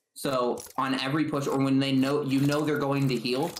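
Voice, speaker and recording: A man talks in a medium pitch. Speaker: video game coach. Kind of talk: coaching session. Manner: fast; animated.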